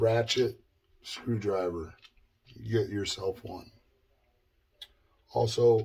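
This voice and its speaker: A somewhat breathy man at medium pitch, with long, frequent pauses. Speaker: guitar builder. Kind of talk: tutorial. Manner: casual, hesitant.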